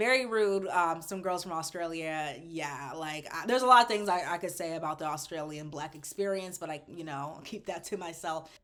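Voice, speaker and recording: A woman with an American accent speaks at a moderate pace, her fairly low voice showing ordinary pitch variation. She hardly pauses, and her loudness swings widely. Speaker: travel vlogger. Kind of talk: casual monologue video review. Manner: casual, hesitant with fillers.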